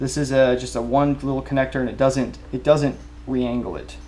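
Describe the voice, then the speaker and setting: A man talks over light background noise. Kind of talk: tutorial. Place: garage. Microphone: camera far.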